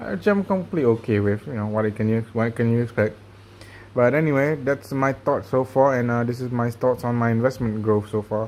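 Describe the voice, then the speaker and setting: This man talks at a fairly quick pace, at a medium pitch with ordinary pitch variation. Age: 20s. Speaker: personal finance vlogger. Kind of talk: casual video update. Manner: fast.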